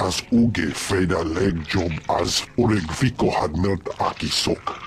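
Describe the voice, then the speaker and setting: Over clear background music, a man uses a put-on character voice with a very deep, low pitch at a fairly slow pace. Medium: video game.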